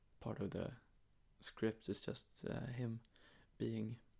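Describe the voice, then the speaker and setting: Soft-spoken and at a medium pitch, a man talks at a very slow pace. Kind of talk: ASMR sleep talk. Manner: rambling, hesitant.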